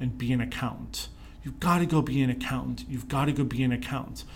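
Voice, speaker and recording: Speaking with an American accent, the man is heard with audible room echo. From Pittsburgh, Pennsylvania, US. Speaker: leadership consultant and speaker. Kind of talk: interview.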